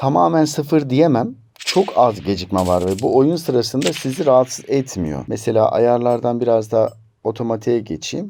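At a moderate pace, the speech carries lively intonation in a dark, mellow tone. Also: man, medium pitch for a man. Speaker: tech reviewer. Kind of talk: product review. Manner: animated.

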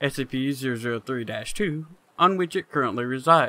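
With lively intonation and a bright, sharp tone, a man speaks in a dry sound with no echo. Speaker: streamer. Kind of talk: calm reading of horror fiction articles. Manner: calm, relaxing. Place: home room.

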